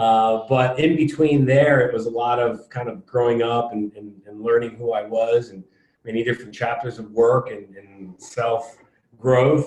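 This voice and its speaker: This is a normal speaking voice with an American accent, delivered at a fairly slow pace with fairly even intonation. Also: man, medium pitch for a man. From US Northeast, Connecticut. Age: 30s. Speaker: podcast guest, fitness and real estate investor. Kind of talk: casual interview. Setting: conference room, in person.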